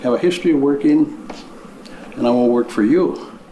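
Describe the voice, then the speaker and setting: Over noticeable background noise and audible room echo, a man with an Upper Midwest accent speaks at a high pitch with very wide swings. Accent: Upper Midwest American. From Minnesota. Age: 60s. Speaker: county commissioner candidate. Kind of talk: candidate interview statement. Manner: halting, with many fillers.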